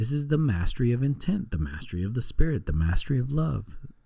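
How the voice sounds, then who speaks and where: A man talks in a dark, mellow tone that is calm. His voice is somewhat breathy. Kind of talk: book reading aloud. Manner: soft-spoken, calm.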